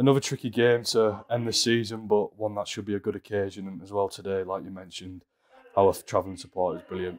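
A man speaks at a fairly low pitch in a slightly mellow tone, with little pitch movement.

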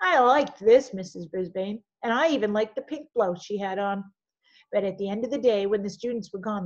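Quiet background behind an unforced reading voice.

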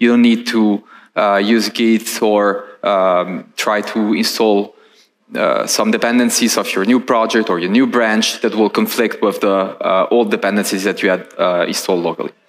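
A man with an Italian accent speaks at a moderate pace with very even loudness. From Italy. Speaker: software engineer; conference presenter. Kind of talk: conference talk with live demo. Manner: halting, many fillers and repetitions. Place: stage.

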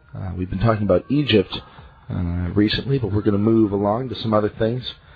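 Faint music plays in the background as a man with a fairly low pitch talks at a fairly quick pace. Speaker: radio talk show host. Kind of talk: radio DJ patter: station-break plug spelling out guest's web address. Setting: radio studio. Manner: enthusiastic, effusive reactions. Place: studio.

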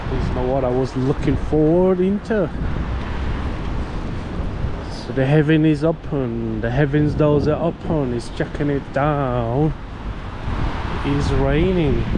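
The speech moves at a fairly slow pace with long, frequent pauses, in a dry sound with no echo and noticeable background noise. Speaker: walking vlogger. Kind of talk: casual vlog chat. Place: street. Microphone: phone near.

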